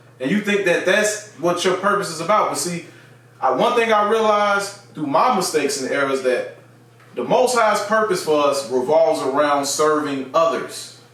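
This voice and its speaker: A high-pitched man's lively intonation amid noticeable background noise and audible room echo. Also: moderate pace. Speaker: bible teacher, religious video host. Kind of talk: bible teaching monologue. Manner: conversational with frequent fillers.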